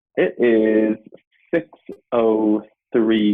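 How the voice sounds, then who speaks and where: A man speaks with an Irish accent. His pitch sits fairly low. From Ireland. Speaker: digital marketing entrepreneur. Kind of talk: interview. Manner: casual.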